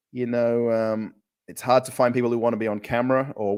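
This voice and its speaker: With an Australian accent, a man talks at a moderate pace. His voice sits at a medium pitch. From Australia, Perth. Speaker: travel vlogger. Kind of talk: live stream chat. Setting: home kitchen. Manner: casual, hesitant with fillers.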